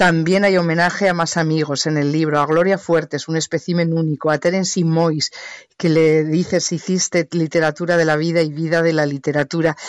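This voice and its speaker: The sound is dry and close with no echo. A woman with a fairly low pitch talks at a moderate pace in a monotone, flat intonation at very even loudness. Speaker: radio journalist and podcast host. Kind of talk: interview. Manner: fluent.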